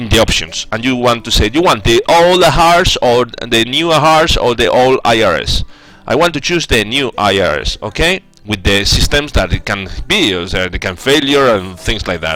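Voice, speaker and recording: A man with a Spanish accent speaks at a moderate pace and medium pitch, with very wide pitch swings. The sound is dry with no echo, and faint music plays in the background. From Spain. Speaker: 3D aircraft developer, livestreamer. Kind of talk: live-streamed tutorial, working commentary; live stream tutorial chat. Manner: halting, many fillers and restarts. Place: home room.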